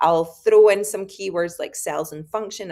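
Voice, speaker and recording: A woman is speaking. She has a Scottish accent. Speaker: high school biology teacher. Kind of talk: conference presentation. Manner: hesitant, many fillers.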